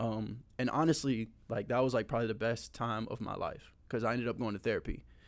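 Delivered at a fairly quick pace with hardly any pauses, this is an unremarkable speaking voice with fairly even intonation. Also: man, medium pitch for a man. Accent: American. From Tampa, Florida. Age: 20s. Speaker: former football player and youth camp organizer. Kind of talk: testimony; casual chat.

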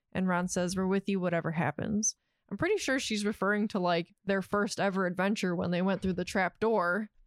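A plain, everyday voice from a woman at medium pitch, fairly quick in pace, with very even loudness and fairly even intonation, in a dry, close sound with no echo and a very clean recording, silent background. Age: 30s. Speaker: podcast co-host. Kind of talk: casual chat.

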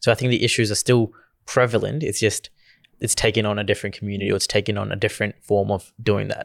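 A man speaks very fast at a fairly low pitch, with vocal fry and fairly even intonation. The recording is very clean, with a silent background and a dry, close sound with no echo. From Gujarat, India. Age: 20s. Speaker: youth advocate. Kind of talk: casual podcast conversation.

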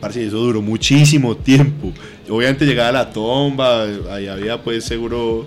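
With music in the background, a man speaks at a moderate pace and medium pitch, keeping his intonation fairly even. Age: 20s. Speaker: athlete and cannabis user. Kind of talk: casual chat.

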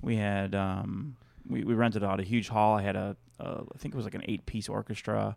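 This man has an unremarkable speaking voice and an American accent. He talks at a fairly low pitch and a fairly quick pace. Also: fairly even intonation. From Chicago, US Midwest. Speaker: stand-up comedian. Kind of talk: casual chat. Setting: studio.

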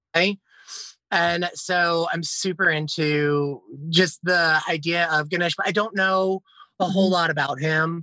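In an American accent, a man with a high pitch and a bright, sharp tone speaks at a fairly slow pace with fairly even intonation, in a dry, close sound with no echo. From Philadelphia area, Pennsylvania. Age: 30s. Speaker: author and witch. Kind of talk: casual interview chat.

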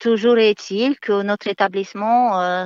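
Speaking at a very slow pace with fairly even intonation, the voice comes through dry and close with no echo over a quiet background. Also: woman. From Moldova. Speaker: nursing home nurse. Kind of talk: testimony.

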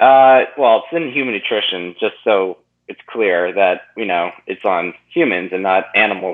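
This man speaks in a normal speaking voice, fairly low in pitch. His intonation is lively and his pace moderate. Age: 20s. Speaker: nutrition coach. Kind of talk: interview.

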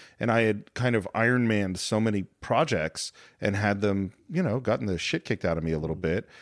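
On a very clean recording with a silent background, a man with a normal speaking voice and fairly low pitch talks fairly quickly with lively intonation. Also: very even loudness. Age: 40s. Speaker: podcast co-host and filmmaker. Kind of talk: casual chat.

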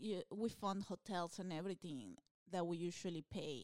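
A woman with a Peruvian accent speaks at a moderate pace, the sound dry and close with no echo. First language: Spanish. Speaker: stand-up comedian. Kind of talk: casual chat. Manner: animated.

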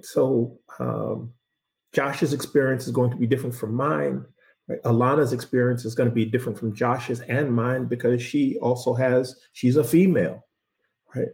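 A man with an American accent speaks at a medium pitch, with ordinary pitch variation. His delivery is fairly slow and carries vocal fry. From US, Boston. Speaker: lead diver, former fire investigator. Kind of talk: interview.

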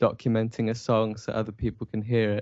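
Speaking at a moderate pace, a man with a medium pitch talks in an English accent. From England. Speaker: musician. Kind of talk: interview. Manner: hesitant, many fillers.

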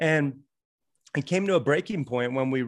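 Against a quiet background, a man with a plain, everyday voice and an American accent talks at a medium pitch and a moderate pace. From US, Florida and Montana. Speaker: author and podcaster. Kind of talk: interview.

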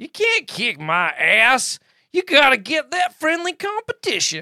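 Using a put-on character voice, a man talks at a fairly slow pace with extremely high pitch. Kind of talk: comic amateur reenactment. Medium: talk show. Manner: angry, blustering, shouting.

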